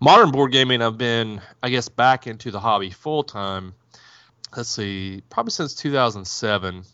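A normal speaking voice, a man's at medium pitch, moves at a moderate pace with ordinary pitch variation. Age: 40s. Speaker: board game publisher. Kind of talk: interview.

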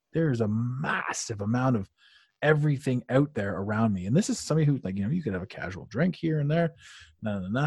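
At a fairly quick pace, a man with a somewhat breathy, medium-pitched voice speaks with lively intonation. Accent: Canadian. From Canada, Ottawa. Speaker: life coach. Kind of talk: podcast interview. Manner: animated.

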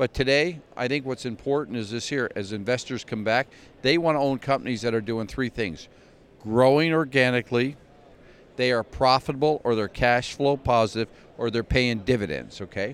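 Speaking at a moderate pace, the man has a medium pitch, ordinary pitch variation, and a plain, everyday voice. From Canada, Glace Bay, Nova Scotia. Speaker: cannabis company executive. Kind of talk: interview. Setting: trade expo.

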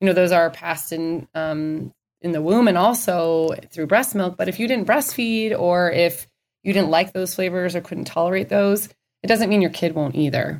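A woman with an American accent, an ordinary speaking voice, fairly low pitch, ordinary pitch variation, and a moderate pace. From Minnesota. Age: 30s. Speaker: dietitian. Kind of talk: interview.

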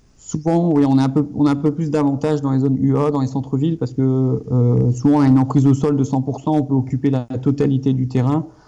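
Talking at a fairly quick pace with hardly any pauses, a man keeps a fairly high pitch and monotone, flat intonation. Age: 30s. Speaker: architect and property investor. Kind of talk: casual interview. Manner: hesitant, many fillers.

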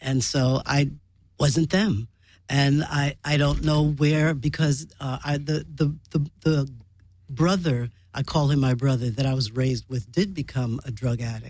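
With a New York accent, a woman speaks at a fairly slow pace in a very deep, low voice with ordinary pitch variation. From New York City. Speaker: sitcom writer and writing teacher. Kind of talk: casual interview chat.

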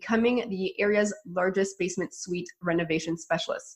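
A woman speaks at a medium pitch with lively intonation. She has an ordinary speaking voice. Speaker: sponsor announcer. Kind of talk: ad read.

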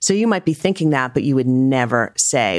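In a very clean recording with a silent background, a woman with an American accent speaks at a moderate pace in a very deep, low pitch. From US Northeast, Rhode Island. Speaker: fiction author. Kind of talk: casual interview chat.

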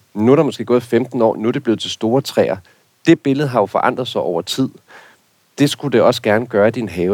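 At a fairly quick pace, the speaker uses an unremarkable speaking voice with ordinary pitch variation. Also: man. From rural Denmark. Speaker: garden expert. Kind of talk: casual chat.

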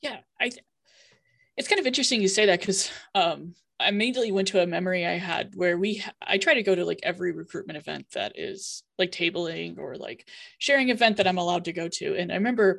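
Very fast speech with an American accent, vocal fry and ordinary pitch variation. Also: woman, medium pitch for a woman. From Iowa, US Midwest. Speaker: university LGBTQ office director. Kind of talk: panel discussion.

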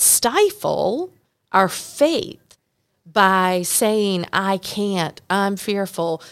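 Someone speaks with a Southern US accent at a very slow pace with long, frequent pauses, in a very clean recording with a silent background. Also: woman. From North Carolina. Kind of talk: casual chat. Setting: in person, same hotel.

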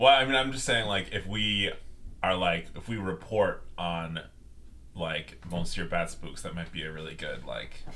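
A man with a very deep, low voice talks at a fairly slow pace in a bright, sharp tone, with vocal fry, very wide pitch swings and big jumps in loudness. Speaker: tabletop roleplaying game player. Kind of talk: casual roleplaying game chat.

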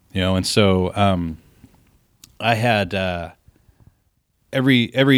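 This is a man speaking. His pitch sits fairly low. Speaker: biotech equity research analyst. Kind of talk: casual interview. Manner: laid back.

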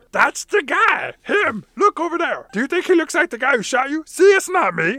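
A man puts on a character voice at an extremely high pitch and a moderate pace. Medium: game stream.

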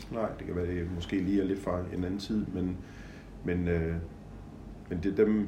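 A man speaks at a very deep, low pitch with a dark, mellow, somewhat breathy tone and monotone, flat intonation. His pace is moderate with long, frequent pauses, and the room echo is audible. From Denmark, Horsens (East Jutland). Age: 60s. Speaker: event organizer. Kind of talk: personal reminiscence, casual chat. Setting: home visit interview. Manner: hesitant, many fillers.

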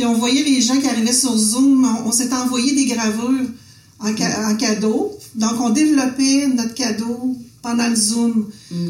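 A woman speaks at a high pitch and a fairly slow pace, with fairly even intonation. Noticeable background noise and audible room echo are present. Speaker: visual artist, printmaker, former art teacher. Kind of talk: casual conversation.

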